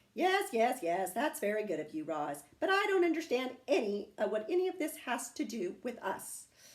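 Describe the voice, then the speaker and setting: A woman puts on a gruff character voice at a high pitch with very wide pitch swings. She keeps a moderate pace with hardly any pauses. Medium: read story. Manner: gruff, grumbling.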